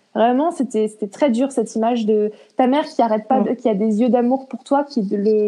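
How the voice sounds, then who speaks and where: A woman talks at a moderate pace, her fairly high voice holding a fairly even intonation. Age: 20s. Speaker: interview guest sharing eating disorder experience. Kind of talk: casual interview. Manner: halting.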